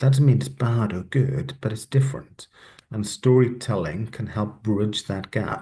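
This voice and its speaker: Speaking at a fairly slow pace, a man with a Welsh accent has a dark, mellow tone. His voice is somewhat breathy and his intonation lively. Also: medium pitch for a man. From West Wales. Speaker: panelist. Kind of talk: panel discussion. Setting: webinar.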